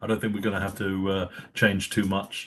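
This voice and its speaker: This is a man speaking. He has an English accent. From England. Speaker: company executive, webinar host. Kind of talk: webinar discussion. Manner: halting, many fillers.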